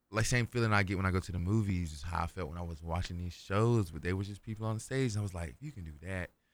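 On a very clean recording with a silent background, a man with a very deep, low pitch and an American accent talks at a very fast pace with hardly any pauses, big swings in loudness and ordinary pitch variation. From North Carolina, US. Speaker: musician, recording artist. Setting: radio studio. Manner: animated, chatty.

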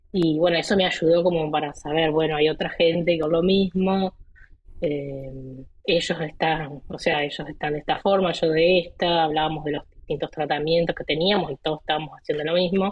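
This woman's voice sits fairly low. Her intonation is monotone and flat. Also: moderate pace. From Argentina, Entre Ríos. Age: 30s. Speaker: physician and rare disease patient. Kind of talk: interview.

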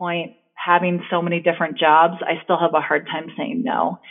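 A woman's fairly low-pitched voice in an American accent, at a moderate pace. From US Northeast, New Jersey. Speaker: avalanche instructor. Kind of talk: casual interview. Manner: hesitant, many fillers.

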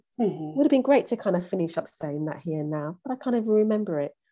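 With a British accent, a woman speaks in a fairly low pitch. Her tone is dark and mellow. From UK. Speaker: relationship coach and therapist. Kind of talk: podcast interview. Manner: halting, many fillers and repetitions.

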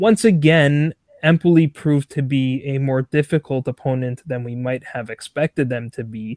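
In a normal speaking voice with ordinary pitch variation, someone speaks at a fairly slow pace, the sound dry and close with no echo. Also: man. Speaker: football podcast host. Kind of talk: casual interview.

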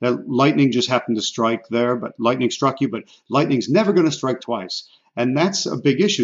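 This is a man with a plain, everyday voice, speaking at a moderate pace and medium pitch in an American accent. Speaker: podcast host and real estate mentor. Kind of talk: interview.

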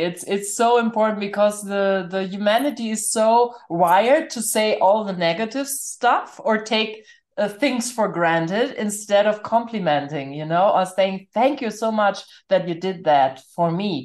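Against a quiet background, a woman uses a normal speaking voice. She talks at a fairly slow pace with ordinary pitch variation. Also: medium pitch for a woman. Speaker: podcast host and spiritual coach. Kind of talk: interview, warm conversation. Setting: video call.

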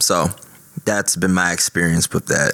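Against noticeable background noise, a man speaks at a moderate pace with a very deep, low pitch. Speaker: army veteran and former political candidate. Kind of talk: casual chat.

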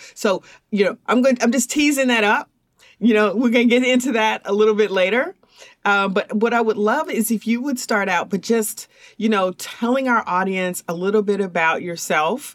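With an ordinary speaking voice, a woman talks at a fairly high pitch and a moderate pace, her loudness very even and her pitch varying in an ordinary way. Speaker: podcast host. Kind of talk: interview conversation.

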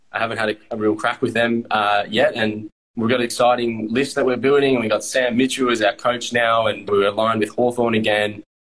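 With an Australian accent, a man talks fairly quickly at medium pitch with hardly any pauses. His intonation is monotone and flat, his loudness very even. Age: 20s. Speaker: Australian rules footballer. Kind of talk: casual interview.

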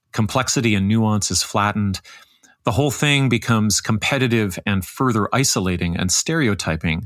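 A man's normal speaking voice, a normal speaking voice at a fairly low pitch with ordinary pitch variation and a moderate pace, on a very clean recording with a silent background. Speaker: podcast host interviewer. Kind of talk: interview conversation.

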